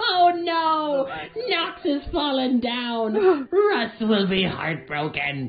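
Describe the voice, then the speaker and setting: A female-sounding voice, put on as a character voice, moves at a very slow pace. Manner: over-the-top grief.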